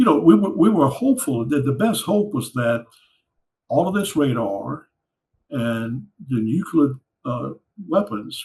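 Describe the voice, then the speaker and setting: The speaker has an American accent and a somewhat breathy voice, moving at a fairly slow pace with long, frequent pauses. The pitch makes very wide swings. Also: man, fairly high pitch for a man. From Louisiana, USA. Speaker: Cold War Air Force veteran. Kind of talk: interview answer.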